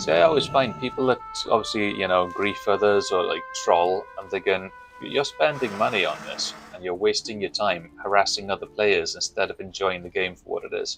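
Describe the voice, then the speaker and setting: A man with a Welsh accent at a moderate pace, his loudness swinging widely, music playing behind him. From Wales. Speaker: gaming streamer. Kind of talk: casual chat.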